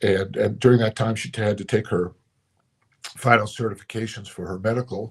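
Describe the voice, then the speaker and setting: A man's fairly quick delivery carries a somewhat breathy quality. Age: 60s. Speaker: pastor. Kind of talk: motivational talk. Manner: reflective, conversational.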